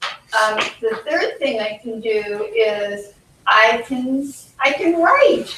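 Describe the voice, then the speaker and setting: A woman talks at a very slow pace with a fairly high pitch and ordinary pitch variation. Room echo is audible. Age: 70s. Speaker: psychologist and life coach, patient speaker. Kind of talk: conference talk. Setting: conference with audience. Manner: halting.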